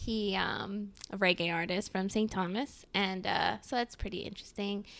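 A woman with a Mid-Atlantic accent speaks at a medium pitch and moderate pace, with vocal fry and fairly even intonation. The recording is very clean, the background silent. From US, Maryland (Montgomery County, near DC). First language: Spanish. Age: 20s. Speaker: podcast co-host. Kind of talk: casual chat.

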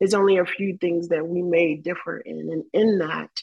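In an American accent, a woman speaks with a fairly low pitch and fairly even intonation. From US South. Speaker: church member. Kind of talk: testimony. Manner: halting.

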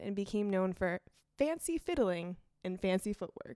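A woman's ordinary speaking voice at medium pitch and a moderate pace, on a very clean recording with a silent background. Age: 20s. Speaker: law graduate guest. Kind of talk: casual chat, storytelling.

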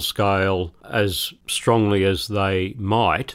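Fairly low-pitched male speech in an Australian accent. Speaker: professor. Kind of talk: interview. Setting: remote studio.

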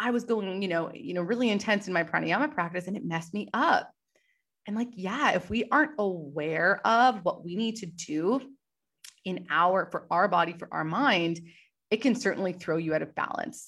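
A woman's normal speaking voice with lively intonation. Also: medium pitch for a woman. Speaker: podcast host and yoga teacher. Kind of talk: guided meditation. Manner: slow, calm, soothing, gently paced with pauses; soft-spoken, warm and instructive.

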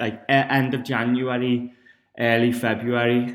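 A man speaks with a northern English accent. His pitch is medium. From northern England. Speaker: fitness podcast host. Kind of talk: solo podcast monologue.

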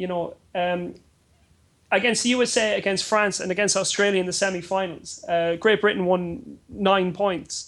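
Speaking with an Irish accent, a man talks at a moderate pace in a high pitch with fairly even intonation. The recording is very clean, with a silent background. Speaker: football journalist. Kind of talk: sports panel discussion.

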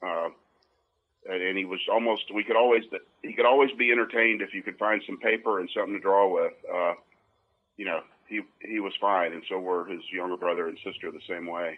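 The speaker has a Southern US accent and a fairly quick pace. Long, frequent pauses and big swings in loudness mark the delivery. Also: man. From US South. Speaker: comedian's father. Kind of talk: casual chat. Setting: phone call.

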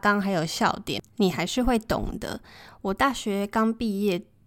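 The recording is very clean, with a silent background. A woman speaks at a moderate pace in a normal speaking voice with a fairly high pitch. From Taiwan. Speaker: podcast host. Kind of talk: casual monologue.

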